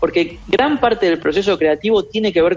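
A man with an Argentine accent, at a fairly quick pace with ordinary pitch variation, over noticeable background noise. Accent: Rioplatense Argentine Spanish. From Argentina. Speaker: creativity expert. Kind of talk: radio interview.

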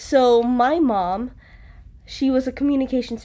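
A dark, mellow tone comes through as a female speaker talks. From Philippines, Cebu. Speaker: college student. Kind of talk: casual interview.

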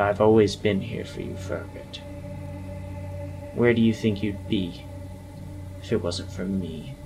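Using a put-on character voice, a man growls at a fairly slow pace in a fairly low pitch, with clear background noise behind him. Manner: bitter, manipulative, seductive.

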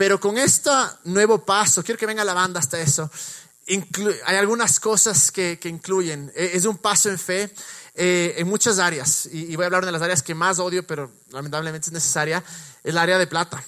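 This man's pitch is high with ordinary variation. He talks at a moderate pace. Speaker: pastor. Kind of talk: church service interview; sermon.

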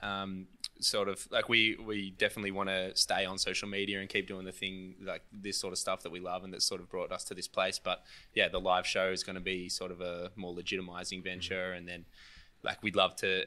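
The recording is very clean with a silent background, and a man speaks at a moderate pace with fairly low pitch. His tone is bright and sharp, his intonation monotone and flat. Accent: Australian. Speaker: comedian. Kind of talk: casual podcast interview.

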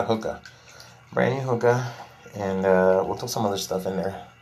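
A man with an American accent speaks at a moderate pace with fairly even intonation. Audible room echo and noticeable background noise come through. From Texas, Laredo. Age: 40s. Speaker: podcast host. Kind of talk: casual monologue, venting.

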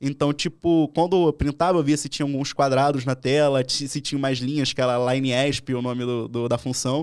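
On a very clean recording with a silent background, a man with a normal speaking voice talks at a moderate pace and fairly high pitch, with fairly even intonation and hardly any pauses. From Brazil, Rio de Janeiro (Leme area). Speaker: penetration tester. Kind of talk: casual interview. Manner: informal slang-heavy.

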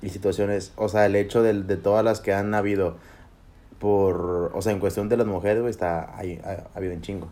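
A man speaks fairly quickly in a fairly low voice with a dark, mellow tone. His delivery is monotone and flat. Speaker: podcast co-host. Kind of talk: casual chat. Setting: livestream on Facebook. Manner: loud.

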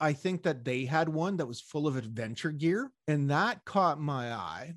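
In a Canadian accent and a normal speaking voice, a man talks fairly slowly at a fairly high pitch with lively intonation, in a very clean recording with a silent background. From Montreal, Canada. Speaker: podcast co-host. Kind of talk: casual chat.

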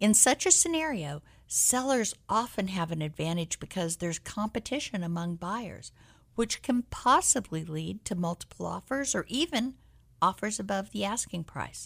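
In an American accent, the speaker talks at a moderate pace with vocal fry and very wide pitch swings. The recording is very clean, with a silent background. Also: woman, medium pitch for a woman. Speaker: real estate agent and radio host. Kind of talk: radio talk show, conversational but polished. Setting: radio studio, live broadcast.

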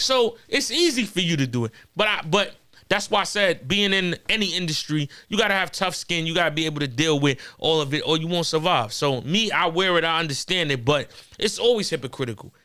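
A man with a New York accent, high-pitched with a bright, sharp tone, lively intonation and a fairly quick pace. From Corona, Queens, New York. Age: 30s. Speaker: battle rapper. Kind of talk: casual chat.

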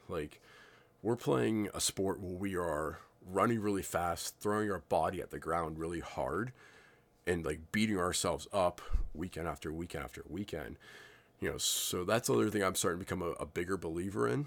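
On a very clean recording with a silent background, a man with a very deep, low pitch speaks at a moderate pace, his intonation lively and his voice showing vocal fry. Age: 30s. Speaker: paintball podcaster. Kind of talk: casual solo podcast monologue. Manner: loose, filler-heavy delivery.

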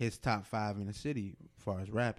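The man's voice has a dark, mellow tone and a fairly low pitch. He moves at a moderate pace with ordinary pitch variation. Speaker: podcast host. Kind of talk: casual banter.

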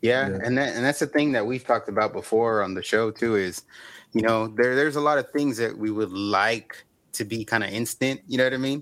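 A man with a normal speaking voice moves at a fairly quick pace, his pitch variation ordinary, on a very clean recording with a silent background. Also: medium pitch for a man. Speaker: podcast host. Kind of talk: casual interview.

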